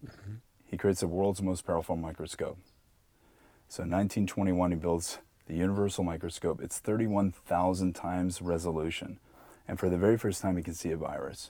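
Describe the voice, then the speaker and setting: A man with a very deep, low pitch and a dark, mellow tone speaks at a moderate pace with fairly even intonation, on a very clean recording with a silent background. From Canada, Pickering, Ontario. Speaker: bioresonance practitioner, former actor. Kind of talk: interview.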